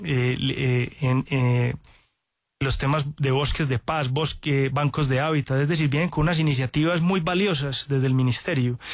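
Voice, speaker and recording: A man speaks at a fairly slow pace with a fairly high pitch. His somewhat breathy voice holds a very even loudness. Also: fairly even intonation. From Antioquia, Colombia. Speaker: sustainability company executive. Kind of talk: radio interview. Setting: radio studio.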